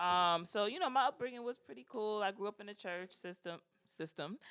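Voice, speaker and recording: On a very clean recording with a silent background, a woman with a New York accent speaks at a medium pitch, her intonation lively and her loudness swinging widely. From New York (Brooklyn). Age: 30s. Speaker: podcast guest. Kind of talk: casual chat.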